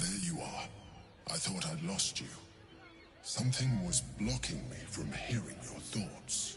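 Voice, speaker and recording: A man's put-on character voice, very deep and low, with very wide pitch swings, a fairly slow pace and long, frequent pauses over clear background noise. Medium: video game. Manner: commanding, condescending.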